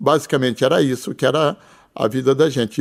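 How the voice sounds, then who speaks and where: A man with a fairly high pitch talks at a fairly quick pace on a very clean recording with a silent background. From rural interior of São Paulo state, Brazil. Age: 60s. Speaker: businessman, pharmacy chain founder. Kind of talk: interview. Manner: halting, many fillers.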